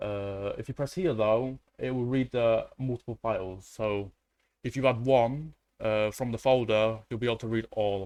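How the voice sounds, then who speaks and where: Over a quiet background, a man talks at a moderate pace and medium pitch, his intonation fairly even. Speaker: tech tutorial creator. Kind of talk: tutorial. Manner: halting, many fillers.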